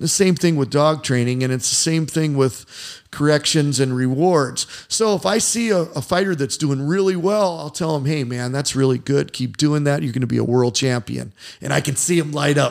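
With an American accent, a man uses an ordinary speaking voice at a fairly high pitch, with ordinary pitch variation and a moderate pace. The recording is very clean, with a silent background. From US Midwest, Indiana. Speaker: martial arts coach and former fighter. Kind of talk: casual interview chat. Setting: in his gym.

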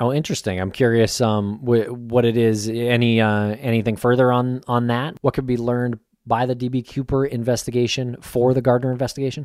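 In a normal speaking voice, a man talks at a fairly quick pace with hardly any pauses, medium pitch and fairly even intonation, on a very clean recording with a silent background. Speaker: podcast host. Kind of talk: podcast interview.

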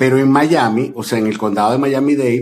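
With a normal speaking voice, a man talks at a medium pitch with ordinary pitch variation. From Venezuela. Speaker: delivery driver and social media creator. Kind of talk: casual interview chat.

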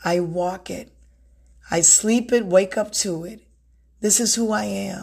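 A woman's somewhat breathy, warm-toned voice at a very slow pace, with big swings in loudness and long, frequent pauses. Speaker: self-help podcast host and author. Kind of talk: motivational solo talk. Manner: warm, conversational.

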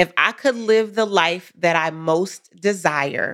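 A woman's unremarkable speaking voice at medium pitch, in a very clean recording with a silent background. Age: 40s. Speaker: business coach. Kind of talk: casual chat; guided reflection.

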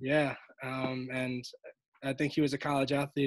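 In an American accent, a man speaks at a medium pitch with monotone, flat intonation. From Brooklyn, New York. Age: 30s. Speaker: basketball coach and PE teacher. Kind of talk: interview. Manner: fast.

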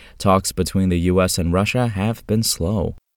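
At a fairly quick pace, a man with a plain, everyday voice and fairly low pitch speaks on a very clean recording with a silent background. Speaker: farm news presenter. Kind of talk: news reading, scripted market and weather report. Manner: steady, formal, even-paced delivery.

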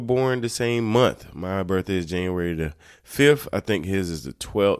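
Very deep and low, a man's voice carries an American accent and a relaxed tone at a moderate pace, with lively intonation. The recording is very clean, with a silent background. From North Carolina. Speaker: podcast host. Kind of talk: casual solo monologue. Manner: relaxed, filler-heavy.

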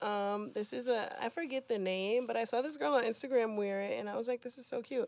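In an unremarkable speaking voice, someone talks at a fairly quick pace with hardly any pauses and ordinary pitch variation. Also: woman, fairly high pitch for a woman. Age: 20s. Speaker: music industry artist relations. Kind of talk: casual chat.

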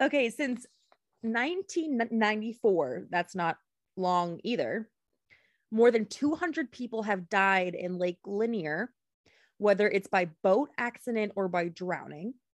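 This is an ordinary speaking voice with lively intonation. The pace is fairly slow. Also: woman, fairly high pitch for a woman. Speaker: podcast host. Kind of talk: casual chat, true crime storytelling. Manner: joking, playful.

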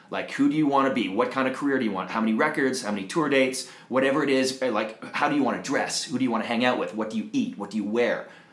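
A man's medium-pitched voice at a very fast pace with hardly any pauses, noticeable background noise and audible room echo. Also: ordinary pitch variation. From Canada, Toronto. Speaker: jingle writer and mindset coach. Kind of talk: casual interview chat. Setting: office.

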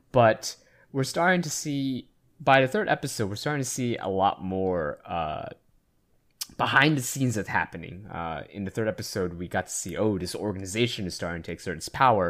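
Fairly quick speech from a man with a fairly low pitch and very wide pitch swings. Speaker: podcast host. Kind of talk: casual chat.

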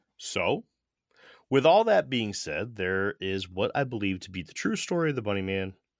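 In an ordinary speaking voice with an American accent, a man talks at a fairly quick pace with lively intonation, the sound dry and close with no echo. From US Northeast, Connecticut. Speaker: podcast host. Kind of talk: scripted narration. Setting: video call.

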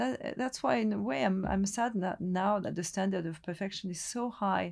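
A woman speaks at a medium pitch with very wide pitch swings and a somewhat breathy quality. Her pace is fairly quick, and the background is quiet. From Lebanon, French family. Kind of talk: interview. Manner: halting.

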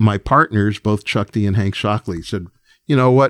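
A man with an American accent talks in an ordinary speaking voice, using ordinary pitch variation. The recording is very clean, dry and close, with a silent background and no echo. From New York, Long Island. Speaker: record executive and music producer. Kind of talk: casual interview.

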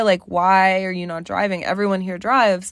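On a very clean recording with a silent background, a woman talks fairly quickly in an unremarkable speaking voice of medium pitch. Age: 20s. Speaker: podcast host. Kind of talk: casual solo monologue. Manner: casual, filler-heavy.

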